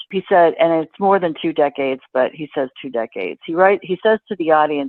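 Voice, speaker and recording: A woman speaks at a fairly quick pace with an American accent. Hers is an ordinary speaking voice, fairly low in pitch. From Boston area, Massachusetts. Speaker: financial writer and journalist. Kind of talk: interview answer.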